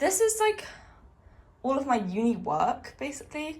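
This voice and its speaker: A woman with a British accent speaks at a high pitch. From UK. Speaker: university student. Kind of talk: casual vlog talk to camera.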